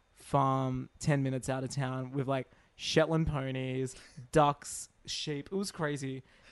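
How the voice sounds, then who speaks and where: The voice has an Australian accent. It moves at a fairly slow pace. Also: man. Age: 30s. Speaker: podcast co-host. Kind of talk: casual chat.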